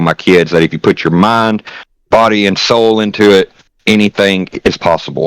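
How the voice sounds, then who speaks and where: In a Southern US accent, a man talks at a moderate pace with fairly even intonation, in a dry, close sound with no echo. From Tennessee. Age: 30s. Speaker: streamer. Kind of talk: casual chat.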